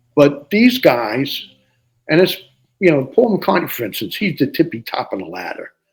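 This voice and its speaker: In a New Jersey accent, a man with a fairly high voice and vocal fry swings very widely in pitch at a moderate pace. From New Jersey, Jersey City. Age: 70s. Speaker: musician. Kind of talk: interview.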